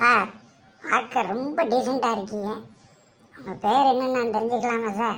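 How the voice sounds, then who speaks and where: A woman uses a cartoonish character voice with a fairly high pitch. She speaks at a fairly slow pace with fairly even intonation. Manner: anxious, pleading.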